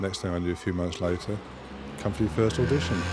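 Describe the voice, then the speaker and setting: Noticeable background noise runs beneath a man speaking at a fairly quick pace. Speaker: game show contestant. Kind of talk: casual chat.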